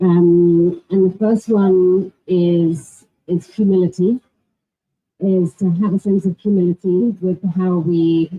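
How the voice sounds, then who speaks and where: Somewhat breathy and at a medium pitch, a woman speaks at a very slow pace with monotone, flat intonation and very even loudness. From England. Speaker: panelist. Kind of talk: panel discussion.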